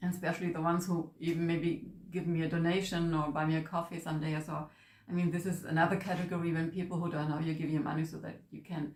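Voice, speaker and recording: A woman speaks in a German accent at a fairly quick pace and a fairly low pitch. Her intonation is monotone and flat, with audible room echo around her. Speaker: manifestation coach. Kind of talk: casual vlog introduction. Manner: halting.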